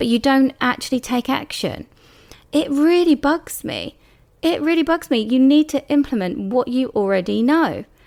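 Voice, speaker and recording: Pitched high with lively intonation, a woman with a British accent speaks at a moderate pace on a very clean recording with a silent background. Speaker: beauty business coach and podcast host. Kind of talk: solo podcast monologue. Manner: casual, conversational.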